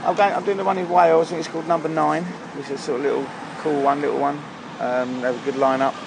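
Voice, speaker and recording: Amid audible room echo and noticeable background noise, a man speaks very fast in a fairly high pitch with ordinary pitch variation. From southern England, Surrey (Leatherhead). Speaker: house music DJ. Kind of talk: casual chat. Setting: outdoors at a pub. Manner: halting, many fillers and repetitions.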